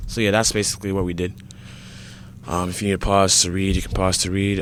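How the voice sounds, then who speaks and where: This man has a very deep, low voice. He talks at a fairly quick pace. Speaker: game scripting tutorial creator. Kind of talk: tutorial. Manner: halting, many fillers; casual.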